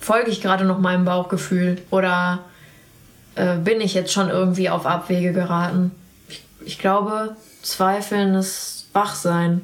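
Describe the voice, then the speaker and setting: A woman speaks at medium pitch with monotone, flat intonation. Her fairly slow pace is marked by long, frequent pauses. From Sauerland, western Germany. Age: 30s. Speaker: portrait photographer. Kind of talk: casual interview conversation. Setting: at her home.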